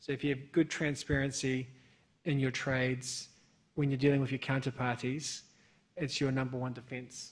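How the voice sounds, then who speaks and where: Somewhat breathy man with a New Zealand accent, medium pitch, monotone, flat intonation and a moderate pace, on a very clean recording with a silent background. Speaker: bank sanctions compliance expert, panelist. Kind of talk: conference panel discussion.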